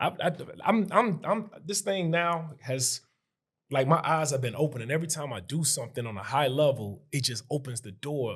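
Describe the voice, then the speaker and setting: A man with an American accent, fairly high pitch, somewhat breathy, animated tone and lively intonation at a moderate pace. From Chicago. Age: 40s. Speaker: real estate investor. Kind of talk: casual chat.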